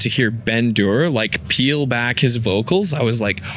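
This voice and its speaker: Noticeable background noise surrounds a man speaking. His pitch is medium and his pace fairly slow. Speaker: metal vocalist. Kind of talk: interview answer.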